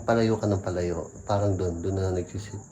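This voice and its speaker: A quiet, dark and mellow voice in a monotone, flat intonation. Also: man. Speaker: vlogger exploring a cemetery. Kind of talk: ghost-hunting vlog narration. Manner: quiet, hushed.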